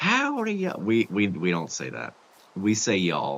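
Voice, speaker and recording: Speaking at a fairly slow pace, a man uses a very deep, low pitch with ordinary pitch variation. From Kentucky (south central). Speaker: gaming streamer. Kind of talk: casual chat. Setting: live stream while gaming.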